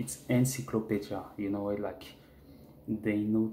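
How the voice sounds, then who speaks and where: In a room with audible echo, a man with a French accent speaks in a fairly low pitch, somewhat breathy, with a dark, mellow tone. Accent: French, speaks bad English. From France. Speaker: jiu-jitsu fan vlogger. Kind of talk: casual monologue vlog. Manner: halting, repetitive; animated.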